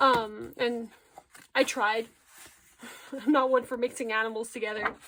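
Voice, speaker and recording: Her high-pitched delivery moves fairly slowly. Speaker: artist. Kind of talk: casual talk to camera. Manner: stuttery, rambling.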